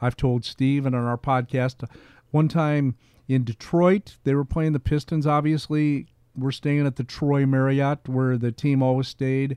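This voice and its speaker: A man with an American accent speaks at a fairly high pitch in a dark, mellow tone, his intonation fairly even, captured dry and close with no echo. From US Midwest, Pekin, Illinois. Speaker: retired TV sportscaster, podcaster. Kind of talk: casual interview.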